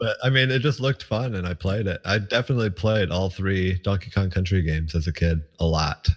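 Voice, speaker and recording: Over a silent background in a very clean recording, a man speaks very fast in a very deep, low pitch, somewhat breathy, with ordinary pitch variation. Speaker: speedrunner. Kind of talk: casual chat.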